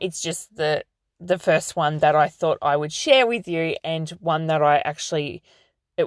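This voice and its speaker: Fairly quick speech with an Australian accent and ordinary pitch variation, dry and close with no echo against a quiet background. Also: woman. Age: 30s. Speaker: podcast host and life coach. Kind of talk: solo podcast monologue.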